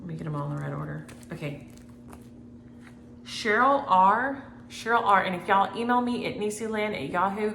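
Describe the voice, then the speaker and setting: Against noticeable background noise and audible room echo, a woman with a Southern US accent speaks at medium pitch and a fairly quick pace, with lively intonation, long and frequent pauses, and big swings in loudness. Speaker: cross-stitch vlogger. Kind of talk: casual chat. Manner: fast.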